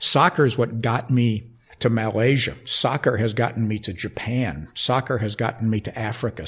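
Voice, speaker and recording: This man speaks with an American accent at a medium pitch. His voice is somewhat breathy. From Connecticut. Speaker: sports public relations executive. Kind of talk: interview. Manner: halting.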